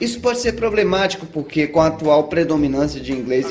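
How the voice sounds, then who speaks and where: Speech comes at a moderate pace with audible room echo. Noticeable background noise is present. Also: man. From Brazil. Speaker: gaming video host and interviewer. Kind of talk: game review narration and interview questions.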